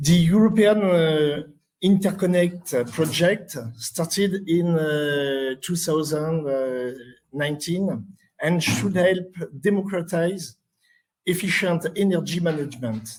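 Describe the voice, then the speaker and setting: A man at high pitch, ordinary pitch variation and very slow pace. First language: French. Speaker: conference presenter. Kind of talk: conference presentation read aloud. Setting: conference session. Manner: halting, many hesitations.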